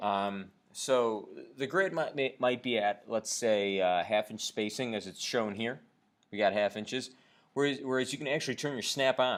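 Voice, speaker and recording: Pitched in the medium range, a man talks with normal variation in pitch. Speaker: CAD instructor. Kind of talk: lecture. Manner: fast; halting, many fillers.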